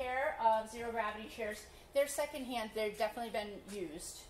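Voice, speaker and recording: A woman with a fairly high pitch and ordinary pitch variation talks at a fairly quick pace. There is light background noise and audible room echo. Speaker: thrift auction host for animal-rescue fundraiser. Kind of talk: casual auction item presentation. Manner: upbeat, chatty, joking with viewers. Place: shop. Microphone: camera far.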